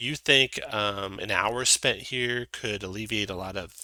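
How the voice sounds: Reading in a natural voice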